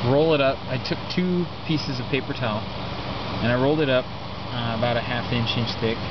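A man talks at a fairly quick pace with ordinary pitch variation. The sound is dry with no echo, under loud background noise. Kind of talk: tutorial. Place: garden. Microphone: phone near.

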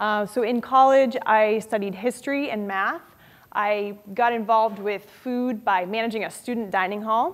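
In a plain, everyday voice, a woman speaks at a fairly high pitch with fairly even intonation. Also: moderate pace. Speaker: author; guest. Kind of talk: lecture. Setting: stage with audience. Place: classroom.

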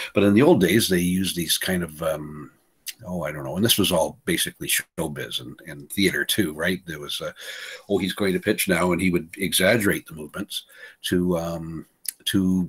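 Against a quiet background, a man speaks at a moderate pace in a very deep, low voice with ordinary pitch variation. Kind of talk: tutorial. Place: home room. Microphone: webcam.

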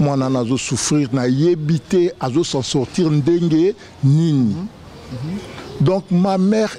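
A man's fairly high voice with lively intonation at a very slow pace, over light background noise. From Kinshasa, DR Congo. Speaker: relative of the founder; guest. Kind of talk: tribute speech. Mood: admiring, emotional tribute. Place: garden. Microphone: handheld.

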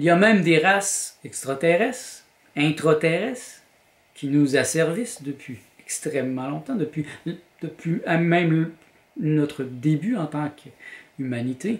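A man with a Quebec accent speaks at a very slow pace, his fairly high pitch carried by lively intonation. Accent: Québécois French. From Quebec, Montreal. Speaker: vlogger and graphic designer; vlogger. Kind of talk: personal vlog monologue. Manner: hesitant, with repetitions. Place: home room. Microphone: camera far.

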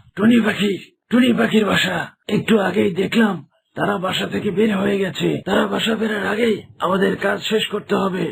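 Putting on a raspy character voice, a man speaks at a high pitch and a moderate pace. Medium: cartoon.

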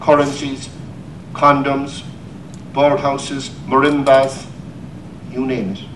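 A man's fairly high voice with a Cork accent at a very slow pace, over noticeable background noise. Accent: Irish, Cork. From Ireland. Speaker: poet. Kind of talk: poetry reading.

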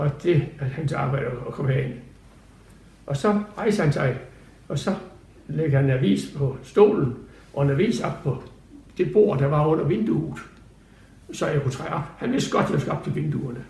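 Amid audible room echo, a man speaks at a fairly slow pace with long, frequent pauses. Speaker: retired prison guard telling his story. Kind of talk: interview answer, recalling memories. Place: home room.

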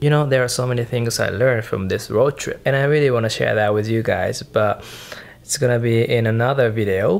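The man talks at a moderate pace. His intonation is fairly even. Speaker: solo road trip vlogger. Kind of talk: casual vlog chat. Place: home room. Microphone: phone near.

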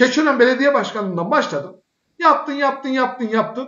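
Here a man speaks with an extremely high pitch. His intonation is lively and his pace moderate. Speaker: political commentary show host. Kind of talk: political talk show. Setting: live broadcast. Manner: animated.

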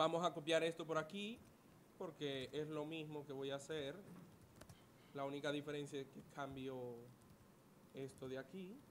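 A man speaks with fairly even intonation. He leaves long, frequent pauses. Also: fairly high pitch for a man, moderate pace.

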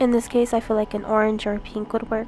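A woman speaks in a fairly high pitch with monotone, flat intonation. Music plays in the background. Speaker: digital artist. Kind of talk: art tutorial voice-over. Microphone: studio mic.

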